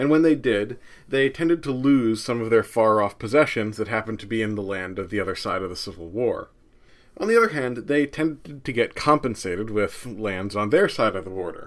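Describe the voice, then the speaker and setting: An ordinary speaking voice: a man with an American accent, medium pitch, lively intonation and big swings in loudness, fairly quick in pace, on a very clean recording with a silent background. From US Northeast, New Jersey. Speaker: history podcaster. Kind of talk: scripted narration.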